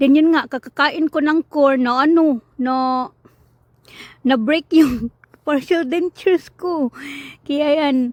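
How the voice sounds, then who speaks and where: Very slow delivery with long, frequent pauses. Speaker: vlogger. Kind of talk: casual vlog.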